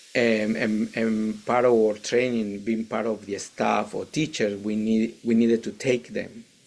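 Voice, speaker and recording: Male voice in a Mexican accent, medium in pitch, flat and monotone, at a fairly slow pace. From Mexico, Veracruz. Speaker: Zen priest and teacher. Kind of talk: interview. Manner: halting, many repetitions and fillers.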